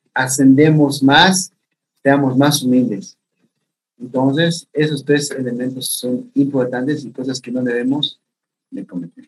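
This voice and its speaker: The speaker is a man at a very slow pace. His intonation is fairly even. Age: 30s. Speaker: youth pastor. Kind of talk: interview.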